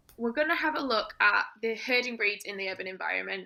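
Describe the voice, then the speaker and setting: A woman with a northern English accent, a fairly high pitch, a bright, sharp tone and a moderate pace. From northern England. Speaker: dog trainer. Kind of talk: presentation.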